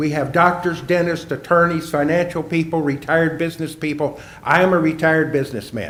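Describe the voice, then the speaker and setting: This man's fairly high voice moves at a fairly quick pace, with audible room echo and noticeable background noise around it. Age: 80s+. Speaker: retired businessman giving public comment. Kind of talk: public hearing comment. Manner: formal.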